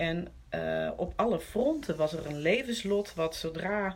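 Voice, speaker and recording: A woman speaks at a fairly low pitch. Noticeable background noise is present. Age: 50s. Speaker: interview guest sharing recovery story. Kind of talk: personal testimony in conversation.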